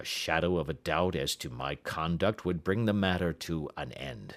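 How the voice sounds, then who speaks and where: Using a put-on character voice, a man speaks at a moderate pace in a very deep, low, raspy tone, recorded very cleanly against a silent background. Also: ordinary pitch variation. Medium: read story. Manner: earnest, agitated.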